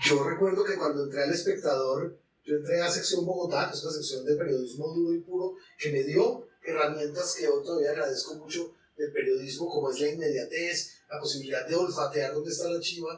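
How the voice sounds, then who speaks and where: A man talks loudly at a high pitch and fairly quick pace, his intonation fairly even. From Colombia, Manizales. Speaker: cultural journalist. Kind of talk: podcast interview.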